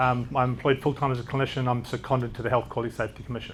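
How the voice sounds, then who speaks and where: With a New Zealand accent, a man speaks. His pitch is medium. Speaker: doctor. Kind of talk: conference talk. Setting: stage with audience. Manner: fast; occasionally mumbling.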